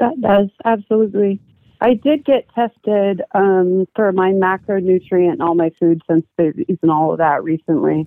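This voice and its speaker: A woman talks at a moderate pace in an unremarkable speaking voice of medium pitch. Her intonation is lively and her loudness very even. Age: 40s. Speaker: military veteran and caller. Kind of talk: phone-in call about health. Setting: phone call.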